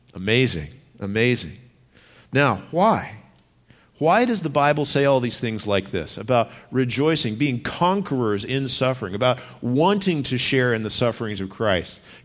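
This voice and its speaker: In a room with audible echo, a man at medium pitch talks at a moderate pace, his pitch swinging very widely. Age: 40s. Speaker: pastor. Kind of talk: sermon.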